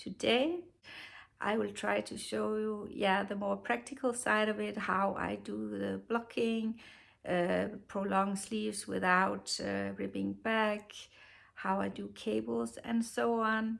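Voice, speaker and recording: A woman speaks very slowly in a Danish accent. The recording is very clean, with a silent background. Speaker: knitting podcaster. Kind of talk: casual tutorial. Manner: halting, many fillers.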